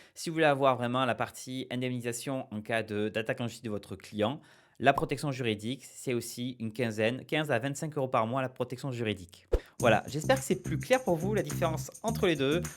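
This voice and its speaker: A man speaks at medium pitch with vocal fry and ordinary pitch variation. His pace is fairly quick, and the recording is very clean with a silent background. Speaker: small-business advice youtuber. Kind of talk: explainer video. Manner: fast; hesitant, many fillers.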